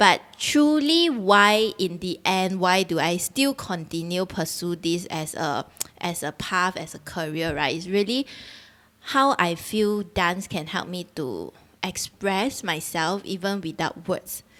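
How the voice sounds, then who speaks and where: A woman speaks in a Singaporean accent at a fairly slow pace. The recording is very clean, with a silent background. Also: medium pitch for a woman, lively intonation. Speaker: dancer and choreographer. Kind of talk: casual chat. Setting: live-streamed video podcast.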